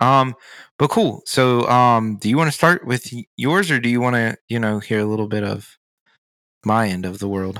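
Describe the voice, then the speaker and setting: Here is a man with an American accent and a normal speaking voice, medium in pitch with ordinary variation. He keeps a moderate pace on a very clean recording with a silent background. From rural Virginia, Blue Ridge mountains. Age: 30s. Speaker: podcast co-host. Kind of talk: casual chat. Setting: in person at a table.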